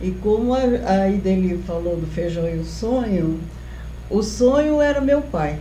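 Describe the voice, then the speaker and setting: Noticeable background noise and audible room echo surround a woman who talks at a very slow pace. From Brazil, interior of São Paulo state (Lins). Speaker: professor. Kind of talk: interview.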